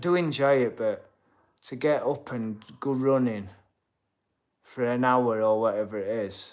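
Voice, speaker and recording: A man's medium-pitched voice with a Yorkshire accent, ordinary pitch variation, big swings in loudness, a fairly slow pace and long, frequent pauses. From Yorkshire, Sheffield. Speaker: boxer and streamer. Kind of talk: live stream chat reading comments. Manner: casual.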